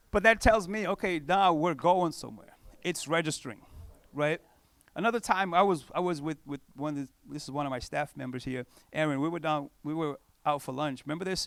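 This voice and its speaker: Animated and fairly quick, a man with a non-native accent speaks at a fairly high pitch with ordinary pitch variation in a very clean recording with a silent background. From Cape Verde, West Africa. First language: not English. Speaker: pastor. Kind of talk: conference talk. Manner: casual, conversational.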